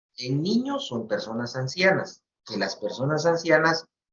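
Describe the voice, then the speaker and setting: A man talks fairly slowly. His voice sits high. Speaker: medical professor. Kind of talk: lecture.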